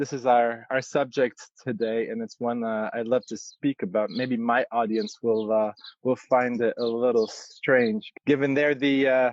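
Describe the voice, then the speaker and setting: Spoken in an Arabic accent at a fairly slow pace, the flat, monotone delivery has a dry, close sound with no echo. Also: man, medium pitch for a man. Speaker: yoga teacher. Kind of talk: interview. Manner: halting, many fillers.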